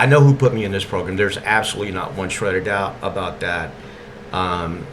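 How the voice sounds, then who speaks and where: A man with an East Texas accent and a fairly low pitch, ordinary pitch variation, noticeable background noise and audible room echo. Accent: East Texas Southern drawl. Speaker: video blogger. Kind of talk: monologue.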